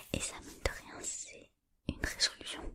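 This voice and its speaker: Noticeable background noise surrounds a woman whispering at a very slow pace. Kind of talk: ASMR motivational talk. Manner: whispered; casual, encouraging.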